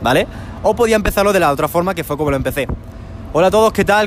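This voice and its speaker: A man is speaking. Music plays in the background. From Spain. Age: young. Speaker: YouTube creator and coach. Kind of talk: interview. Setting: terrace of a shopping centre.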